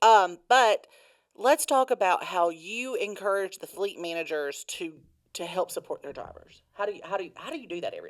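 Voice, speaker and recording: The woman talks at a fairly quick pace with big swings in loudness, in a dry, close sound with no echo. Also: very clean recording, silent background. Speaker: company podcast host. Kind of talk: casual interview chat. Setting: podcast room. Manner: animated.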